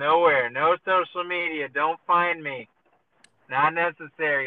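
In an unremarkable speaking voice, a man talks at a fairly slow pace with a fairly high pitch and fairly even intonation. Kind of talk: casual chat. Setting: phone call. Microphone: car Bluetooth phone audio, poor quality.

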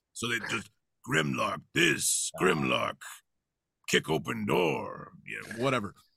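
A raspy, put-on character voice speaks at a fairly slow pace. Long, frequent pauses break up the delivery. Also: man. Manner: dense, broken speech.

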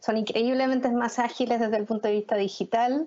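A woman speaks with monotone, flat intonation. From Chile. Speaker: arts federation director. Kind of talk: panel discussion.

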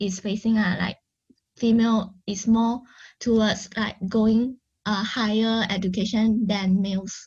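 With a Malaysian accent, a woman speaks fairly slowly in a somewhat breathy, fairly high voice over a quiet background. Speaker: project president, stand-in host. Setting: video call. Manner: halting.

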